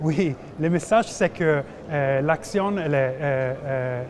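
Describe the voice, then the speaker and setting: A man's fairly high voice with an Italian accent and ordinary pitch variation. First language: Italian (speaking French). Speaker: investor relations manager. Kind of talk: business interview. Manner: halting.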